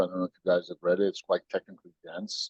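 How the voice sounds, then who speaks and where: This is a man speaking with an American accent. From United States. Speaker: tech company CEO. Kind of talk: podcast interview. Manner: animated, storytelling with voices.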